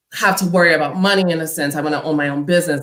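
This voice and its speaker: A woman's fairly low-pitched voice, bright and sharp in tone, with ordinary pitch variation. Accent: New York. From Harlem, New York City. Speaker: panelist. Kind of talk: casual chat.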